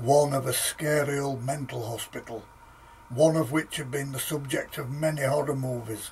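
Over light background noise, a man with a somewhat breathy, fairly high-pitched voice speaks at a moderate pace. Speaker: author reading his own book. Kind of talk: ghost story reading. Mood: calm, steady narration. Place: home room.

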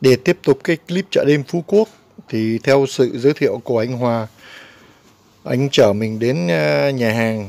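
The speech moves at a very slow pace, and the sound is dry with no echo. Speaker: travel vlogger. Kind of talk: casual vlog commentary. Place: street. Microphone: phone near.

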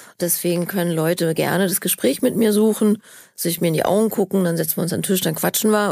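Captured in a very clean recording with a silent background, a woman has an unremarkable speaking voice, fairly low in pitch with ordinary variation. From Berlin. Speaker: actress. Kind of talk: interview answer.

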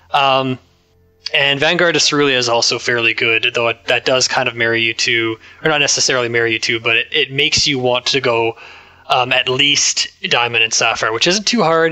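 Someone with a Canadian accent speaks fairly quickly with ordinary pitch variation and very even loudness over noticeable background noise. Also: man, medium pitch for a man. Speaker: co-host, card game player. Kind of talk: casual chat.

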